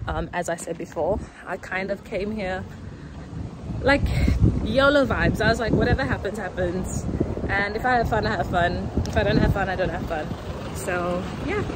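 With loud background noise but a dry sound with no echo, a woman speaks with ordinary pitch variation and long, frequent pauses. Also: moderate pace. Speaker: travel vlogger. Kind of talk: casual vlog chat. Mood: relaxed, chatty. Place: street. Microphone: phone near.

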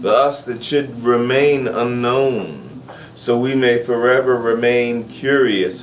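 A man speaks at a very slow pace. Light background noise can be heard. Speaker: spoken word poet and host. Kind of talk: intimate confessional love poem, spoken word. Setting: live venue. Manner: tender, yearning, alliterative cadence building through repetition; drawn-out, spelling words letter by letter for effect. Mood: intimate, expressive. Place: home room.

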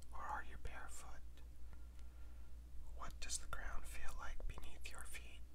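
Speech moves at a fairly slow pace with long, frequent pauses. Noticeable background noise is present. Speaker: tarot reader. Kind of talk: ASMR tarot meditation, whispered guided relaxation. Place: home room.

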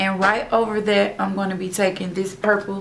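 Faint background noise lies beneath a woman talking at an average speed. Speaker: beauty vlogger. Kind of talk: tutorial. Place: home room. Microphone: phone near.

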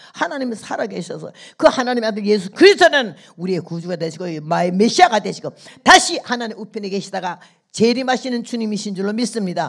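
Against a quiet background, a woman talks at a very fast pace with very wide pitch swings and big swings in loudness. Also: fairly high pitch for a woman. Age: 80s+. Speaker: missionary preacher. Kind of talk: sermon. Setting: church service with congregation. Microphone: handheld.

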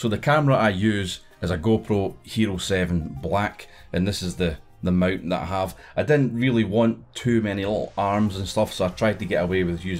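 A man speaks at a moderate pace with fairly low pitch and ordinary pitch variation. Faint music plays in the background. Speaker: motovlogger. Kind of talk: tutorial. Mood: relaxed, friendly. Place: home room.

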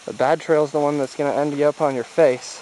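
The voice moves at a moderate pace, dry with no echo, over light background noise. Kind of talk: casual vlog chat. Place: forest. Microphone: phone near.

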